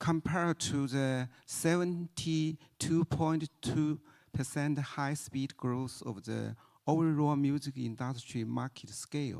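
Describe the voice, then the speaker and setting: With a Chinese accent, the speaker talks at a very slow pace. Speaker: music industry researcher. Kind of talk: conference panel talk. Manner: halting.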